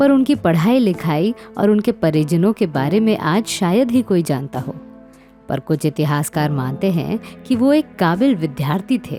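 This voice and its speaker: Music plays in the background while a woman speaks with very wide pitch swings. Her pitch is fairly low. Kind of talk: documentary biography narration.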